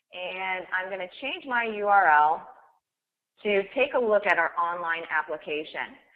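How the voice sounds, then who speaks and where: Using a normal speaking voice, a woman talks at a fairly slow pace with a medium pitch and lively intonation. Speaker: software trainer. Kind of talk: webinar software demo. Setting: online webinar. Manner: too quiet.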